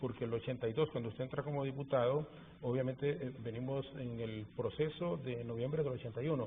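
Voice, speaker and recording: A man with an ordinary speaking voice, medium pitch, fairly even intonation and a fairly quick pace. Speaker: TV interviewer. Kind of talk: TV interview.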